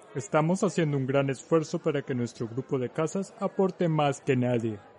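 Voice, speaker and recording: At a moderate pace, a man with a fairly high voice uses lively intonation while noticeable background noise plays. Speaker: audiobook narrator. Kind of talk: audiobook character dialogue. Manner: chatty, jovial, hearty.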